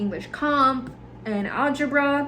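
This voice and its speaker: Lively intonation and an American accent come through amid noticeable background noise and audible room echo. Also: woman. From US mainland, Indiana and South Carolina. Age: 20s. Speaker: podcast host. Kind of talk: casual monologue podcast. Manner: casual, filler-heavy.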